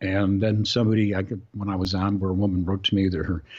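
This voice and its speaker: Against a quiet background, a man with a very deep, low pitch talks at a fairly quick pace in a monotone, flat intonation. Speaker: voice actor. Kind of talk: interview answer. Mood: amused, relaxed. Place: home room.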